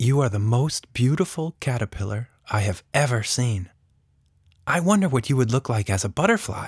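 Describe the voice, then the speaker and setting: A man's gentle, playful, somewhat breathy voice with lively intonation at a moderate pace, dry and close with no echo, in a very clean recording with a silent background. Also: medium pitch for a man. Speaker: author and narrator. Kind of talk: children's story audiobook narration. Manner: gentle, expressive storytelling with playful character voices; warm, playful, and humorous in the intro.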